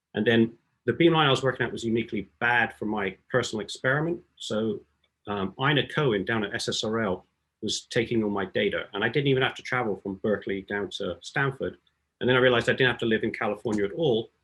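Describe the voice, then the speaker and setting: Very fast speech from a man with an English accent and medium pitch. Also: ordinary pitch variation. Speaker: beamline scientist. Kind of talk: scientific talk.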